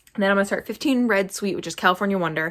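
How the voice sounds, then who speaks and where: This very clean recording of a female speaker has a silent background. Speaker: homesteader. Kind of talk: casual chat. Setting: basement. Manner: fast.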